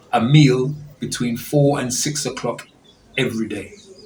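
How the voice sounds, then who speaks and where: A man talks at a medium pitch with fairly even intonation. Noticeable background noise and audible room echo are present. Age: 60s. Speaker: pastor giving a health talk. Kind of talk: health talk to an audience.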